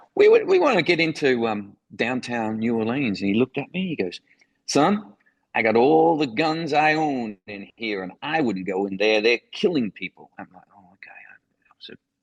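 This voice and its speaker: Against a quiet background with a dry, close sound and no echo, a man of medium pitch with an Australian accent talks at a moderate pace, his lively intonation paired with big swings in loudness. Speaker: foreign correspondent. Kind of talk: interview storytelling.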